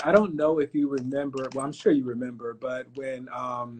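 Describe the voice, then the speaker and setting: A man with an American accent speaks at a moderate pace in a plain, everyday voice, with medium pitch and ordinary pitch variation. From Florida, Fort Pierce. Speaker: pharmacist and business owner. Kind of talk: interview. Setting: live stream.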